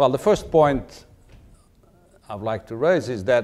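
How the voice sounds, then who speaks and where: A man speaks with a Portuguese accent and a lively, varied intonation. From Portugal. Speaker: diplomat; ambassador giving lecture. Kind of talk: lecture. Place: hall. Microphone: lapel.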